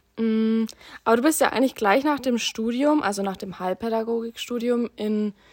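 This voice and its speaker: A woman speaks in an unremarkable speaking voice. Her pace is moderate. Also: very clean recording, silent background. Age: 20s. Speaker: social work student. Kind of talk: interview.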